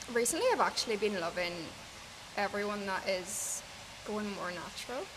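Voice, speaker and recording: A woman with an Irish accent and ordinary pitch variation, over noticeable background noise. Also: medium pitch for a woman, moderate pace. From Ireland. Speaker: hairstylist. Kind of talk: interview answer.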